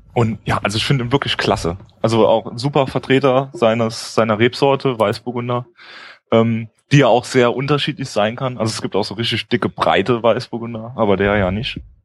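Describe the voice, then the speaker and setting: Using a normal speaking voice, a man at medium pitch talks at a fairly quick pace with fairly even intonation. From Mosel region, Germany. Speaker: wine enthusiast co-host. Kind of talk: casual chat. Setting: live stream with chat.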